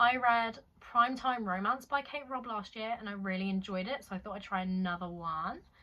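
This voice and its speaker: With a British accent, a woman talks at a fairly quick pace in a fairly high pitch with ordinary pitch variation. Her tone is bright and sharp, and her loudness swings widely. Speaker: booktuber. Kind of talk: casual book haul vlog.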